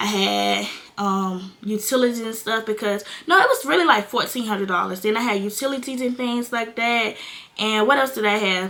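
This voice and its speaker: A woman is speaking with ordinary pitch variation. Noticeable background noise can be heard. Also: fairly high pitch for a woman, moderate pace. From North Carolina. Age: 20s. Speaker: content creator, young mother. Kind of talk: casual talk to camera. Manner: candid, casual.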